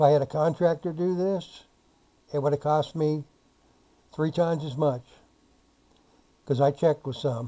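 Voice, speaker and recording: A man with a fairly high voice talks at a moderate pace, his intonation fairly even and his speech broken by long, frequent pauses. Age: 60s. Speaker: DIY homeowner. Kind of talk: tutorial. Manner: casual, with fillers.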